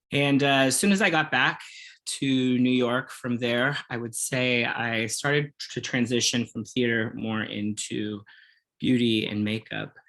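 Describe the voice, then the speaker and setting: On a very clean recording with a silent background, a man with an American accent talks at a fairly slow pace. His medium pitch has ordinary variation and a bright, sharp tone. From Kansas, US Midwest. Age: 40s. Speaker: makeup artist and former musical theater performer. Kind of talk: interview, casual chat.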